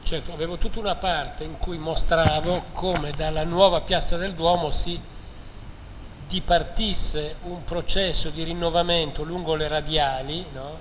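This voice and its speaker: A man with a Milanese accent, high-pitched and monotone, at a fairly slow pace, amid audible room echo and noticeable background noise. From northern Italy, Milan. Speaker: architectural historian, lecturer. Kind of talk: lecture. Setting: lecture hall with audience.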